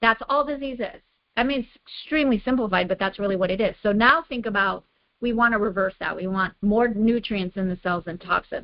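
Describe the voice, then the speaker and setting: A woman's fairly high voice in an American accent, a normal speaking voice, with ordinary pitch variation and a fairly quick pace. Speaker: health coach. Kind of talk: online program call, lecture-style. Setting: video call.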